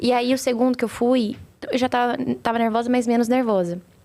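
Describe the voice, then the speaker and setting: A woman's high voice moves fairly quickly, her intonation fairly even. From Brazil, Campinas (São Paulo state). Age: 20s. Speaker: restaurant group marketing executive. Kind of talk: podcast interview.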